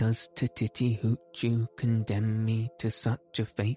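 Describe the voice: A man's put-on character voice at a medium pitch, fairly slow and monotone, with faint music in the background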